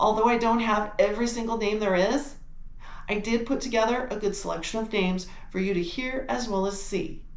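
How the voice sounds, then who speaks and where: Over noticeable background noise and audible room echo, a woman with an American accent speaks at a fairly quick pace and fairly high pitch, with ordinary pitch variation. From United States. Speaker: travel and genealogy channel host. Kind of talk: video presentation and interview. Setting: video call.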